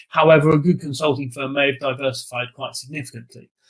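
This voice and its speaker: A man at a fairly quick pace. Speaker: professor and consulting advisor. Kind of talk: presentation to audience. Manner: fast; hesitant, many fillers.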